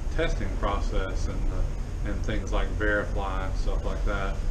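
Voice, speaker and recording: Fairly slow speech over loud background noise. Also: man. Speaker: travel vlogger. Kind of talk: casual vlog chat. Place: home room. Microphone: phone near.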